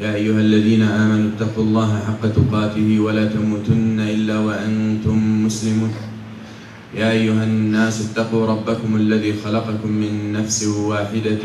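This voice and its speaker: A man talks at a fairly slow pace in a fairly low pitch, his intonation monotone and flat. Light background noise and audible room echo sit behind his voice. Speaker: preacher. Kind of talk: sermon. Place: church.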